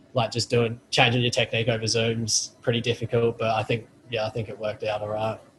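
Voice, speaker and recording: The delivery comes at a very fast pace with an Australian accent and a monotone, flat intonation. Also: man, medium pitch for a man. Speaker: college football punter. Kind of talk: post-practice interview. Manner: halting.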